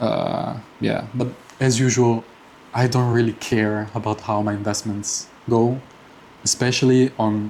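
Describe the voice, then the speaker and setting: A man speaks fairly slowly at a medium pitch, with long, frequent pauses. His delivery is monotone and flat, with noticeable background noise behind it. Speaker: personal finance vlogger. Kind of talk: casual monthly update vlog. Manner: halting, many fillers and repeats.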